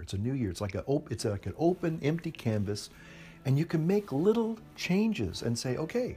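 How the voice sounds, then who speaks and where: A man speaks at a moderate pace, somewhat breathy, with a dark, mellow tone. His pitch swings very widely. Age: 60s. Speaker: pipe smoking video blogger. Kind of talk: casual monologue to camera. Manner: halting, hesitant.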